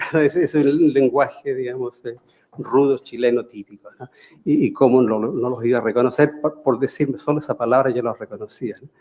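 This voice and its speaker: A man speaks at a medium pitch and a moderate pace, with fairly even intonation. His loudness swings widely. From Chile. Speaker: professor emeritus. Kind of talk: lecture. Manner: halting, many fillers.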